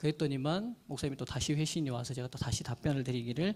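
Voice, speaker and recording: Somewhat breathy, a man speaks at a very fast pace with ordinary pitch variation. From Jeolla, South Korea. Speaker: pastor. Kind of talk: lecture. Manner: formal.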